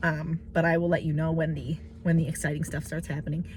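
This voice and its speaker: The speaker talks at a fairly quick pace in a somewhat breathy voice with fairly even intonation. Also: woman. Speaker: vlogger. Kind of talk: casual vlog monologue. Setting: in a car. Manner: hesitant, many fillers.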